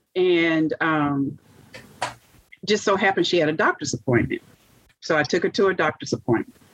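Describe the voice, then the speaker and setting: In a dry, close sound with no echo, a woman speaks at a moderate pace. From US South, Monroe, Louisiana. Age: 50s. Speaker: heart transplant recipient. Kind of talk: interview testimony.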